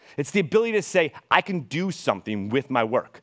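Speaking at a fairly quick pace, a man with a fairly high pitch uses an animated tone, vocal fry and very wide pitch swings, in a very clean recording with a silent background and a dry, close sound with no echo. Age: 30s. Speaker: university institute director and educator. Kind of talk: public talk to audience. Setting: stage with audience.

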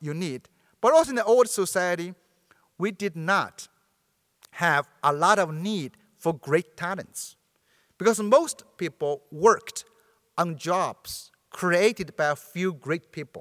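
In a Chinese accent, a man with a high voice speaks very slowly with ordinary pitch variation and long, frequent pauses, recorded with a dry, close sound with no echo. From China, Sichuan province. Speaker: professor. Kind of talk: lecture.

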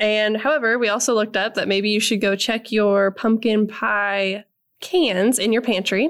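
A woman's fairly high voice with a Midwestern US accent, at a moderate pace and very even loudness throughout. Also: ordinary pitch variation. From Nebraska. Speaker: agriculture podcast co-host. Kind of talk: casual chat.

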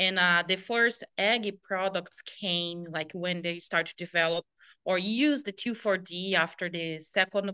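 With a Brazilian accent, a woman speaks at medium pitch with ordinary pitch variation and a bright, sharp tone, recorded dry and close with no echo against a quiet background. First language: Portuguese. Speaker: pesticide application specialist. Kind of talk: interview answers.

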